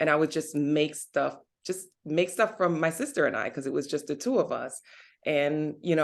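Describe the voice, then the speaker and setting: Against a quiet background, a woman speaks at a very deep, low pitch. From Jamaica, moved to US at ten. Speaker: vegan recipe creator. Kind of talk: casual interview chat.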